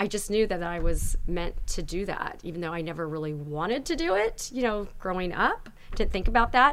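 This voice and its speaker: A woman with a medium-pitched voice speaks fairly quickly, with hardly any pauses. Her intonation is lively, and room echo is audible. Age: 40s. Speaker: skincare company founder. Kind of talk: casual chat. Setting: studio.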